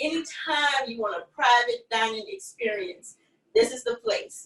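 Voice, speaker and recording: A woman speaks with a Louisiana accent at a fairly slow pace. Her pitch swings very widely. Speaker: chef and restaurant owner. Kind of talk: live cooking demo interview.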